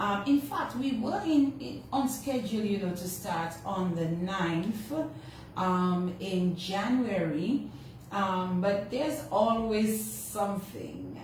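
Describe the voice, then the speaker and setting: Amid noticeable background noise and audible room echo, a woman speaks at a very slow pace and medium pitch with lively intonation. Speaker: radio host. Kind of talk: radio show opening monologue. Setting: radio studio, also streamed on social media. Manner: casual, halting with fillers.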